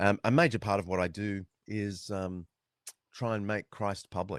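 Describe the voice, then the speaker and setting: In a dry, close sound with no echo, a man with an Australian accent speaks at a moderate pace in a fairly low pitch with ordinary variation. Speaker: author and historian. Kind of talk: interview. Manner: many fillers and restarts.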